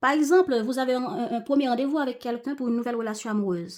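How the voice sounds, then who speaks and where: A woman's high-pitched voice with lively intonation, in a very clean recording with a silent background. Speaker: tarot reader. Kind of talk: tarot reading talk to viewers.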